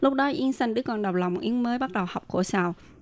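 With a quiet background, a woman talks at a fairly quick pace with ordinary pitch variation. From Vietnam. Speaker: immigrant, association founder, master's graduate. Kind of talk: interview. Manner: halting.

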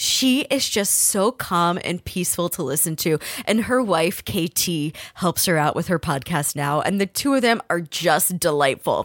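A normal speaking voice from a woman with an American accent, fairly low in pitch, with lively intonation at a fairly slow pace and hardly any pauses, in a dry, close sound with no echo on a very clean recording with a silent background. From New Jersey. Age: 30s. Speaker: podcast host. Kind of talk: casual chat.

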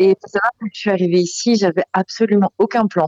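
An ordinary speaking voice holds fairly even intonation at a moderate pace. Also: woman. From Belgium. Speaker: expat caller. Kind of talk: phone interview.

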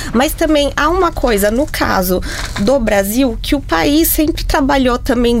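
In a Brazilian accent, a woman talks at a fairly slow pace amid audible room echo and noticeable background noise. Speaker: communication sciences researcher. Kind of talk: radio panel discussion.

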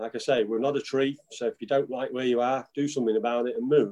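This man speaks with an English accent at a medium pitch. His tone is dark and mellow. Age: 50s. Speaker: pastor. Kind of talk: preaching.

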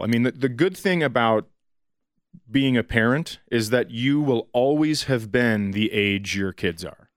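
A medium-pitched man with an American accent and ordinary pitch variation, in a very clean recording with a silent background. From Minnesota, US. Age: 40s. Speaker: comedian. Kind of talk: casual interview chat.

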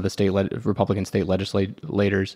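Recorded very cleanly against a silent background, a man with a plain, everyday voice speaks at a fairly quick pace and a fairly low pitch. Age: 30s. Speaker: political organization director, co-host. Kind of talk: casual political discussion.

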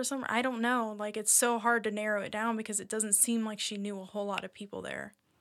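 Over a silent background in a very clean recording, a woman with an American accent speaks at a moderate pace in a fairly high, flat, monotone voice. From United States. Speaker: true crime podcast host. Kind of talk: casual chat with storytelling.

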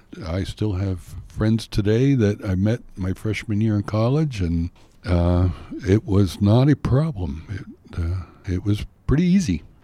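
Fairly low in pitch, a man with an American accent and a dark, mellow tone speaks fairly slowly with lively intonation. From Pennsylvania. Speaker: retired teacher, panelist. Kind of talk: casual advice chat.

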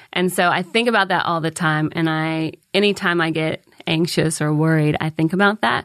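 This woman has a plain, everyday voice, pitched fairly low, with fairly even intonation. She talks at a moderate pace over a quiet background. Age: 40s. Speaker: stand-up comedian. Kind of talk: casual chat. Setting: studio.

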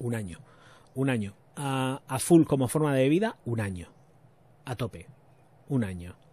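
A man's medium-pitched voice with lively intonation, a fairly slow pace and long, frequent pauses. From Spain, Murcia. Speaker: YouTube perfume reviewer. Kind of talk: casual livestream chat. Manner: animated.

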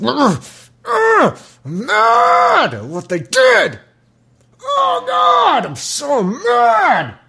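A put-on character voice shouts at a fairly high pitch and a very slow pace. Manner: yelling, huffing and puffing.

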